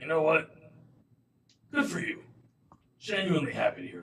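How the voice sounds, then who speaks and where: Putting on a character voice, a man speaks high for a man in a raspy tone with big swings in loudness. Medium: actual play. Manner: casual, chatty.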